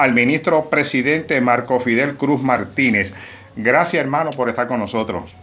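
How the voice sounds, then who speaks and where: Medium-pitched male voice with pitch that rises and falls in a normal way. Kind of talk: interview. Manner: animated.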